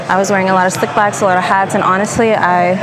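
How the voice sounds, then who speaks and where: A woman speaks while noticeable background noise carries on. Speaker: fitness vlogger. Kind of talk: casual vlog chat. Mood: relaxed, slightly exasperated. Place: gym. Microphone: lapel.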